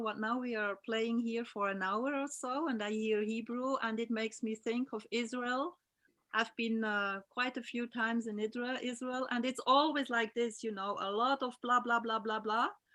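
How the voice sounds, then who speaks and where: Hardly pausing, a woman speaks at a fairly high pitch in a bright, sharp tone with fairly even intonation. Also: moderate pace. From Switzerland. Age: 50s. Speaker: aquatic therapist. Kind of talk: casual chat. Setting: video call.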